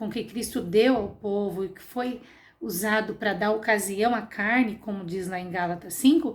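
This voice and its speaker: Somewhat breathy and fairly high-pitched, a woman speaks at a fairly slow pace with ordinary pitch variation and big swings in loudness. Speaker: Sunday school teacher. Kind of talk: Bible class lesson.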